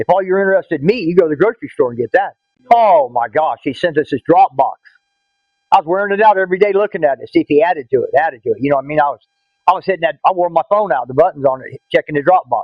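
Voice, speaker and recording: Here is a high-pitched man with a Southern US accent. He talks at a very fast pace with lively intonation. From Florida, US South. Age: 60s. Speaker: hunter. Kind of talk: interview testimony. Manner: halting, many fillers.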